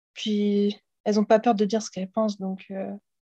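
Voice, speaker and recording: Somewhat breathy and dark and mellow in tone, a woman at fairly high pitch speaks in a monotone, flat way at a moderate pace. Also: dry, close sound with no echo. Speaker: exchange student, podcast co-host. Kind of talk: casual chat.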